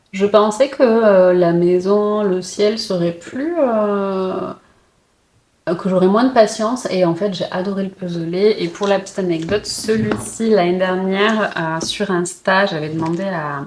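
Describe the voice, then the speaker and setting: A woman talks at a very slow pace. Her voice sits at medium pitch with ordinary variation. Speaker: puzzle and book vlogger. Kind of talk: casual vlog. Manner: hesitant, many fillers.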